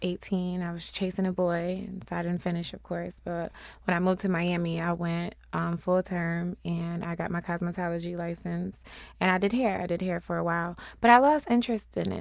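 A woman with an American accent speaks at a fairly quick pace in an ordinary speaking voice, fairly low in pitch with fairly even intonation, on a very clean recording with a silent background. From Syracuse, New York. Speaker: lash tech and hairstylist. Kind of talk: casual interview.

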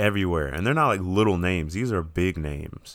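Very deep and low, a man's voice moves through ordinary pitch variation. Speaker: podcast co-host.

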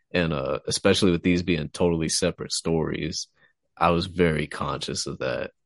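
A man with a very deep, low pitch speaks at a moderate pace in a monotone, flat intonation, with a dry, close sound with no echo and a quiet background. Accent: Texan. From Texas. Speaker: fiction writer and podcast host. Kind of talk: casual chat.

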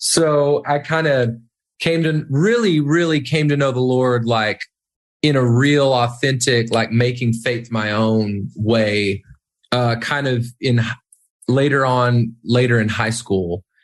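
A man speaks at a very slow pace with very even loudness. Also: medium pitch for a man, ordinary pitch variation. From small-town US. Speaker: worship leader and songwriter. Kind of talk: interview.

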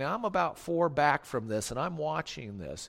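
A man talks in an animated tone at a moderate pace. The recording is very clean, with a silent background. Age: 40s. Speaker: pastor. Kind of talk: sermon.

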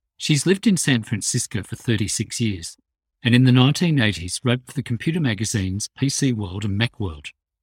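Speaking fast-ish with an Australian accent, a man's medium-pitched, somewhat breathy voice carries lively intonation, recorded very cleanly with a silent background and a dry, close sound with no echo. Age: 60s. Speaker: podcast host. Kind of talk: casual interview.

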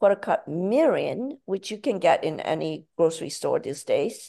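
Her medium-pitched voice dark and mellow, a woman speaks at a fairly slow pace with very wide pitch swings over a quiet background. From Malaysia. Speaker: cookbook author. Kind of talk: interview; recipe instructions. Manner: repetitive stammering starts.

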